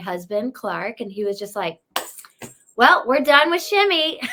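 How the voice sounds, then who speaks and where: A woman speaks with a Southern US accent. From US South, North Carolina (near Charlotte). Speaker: real estate agent. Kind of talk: interview. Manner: energetic.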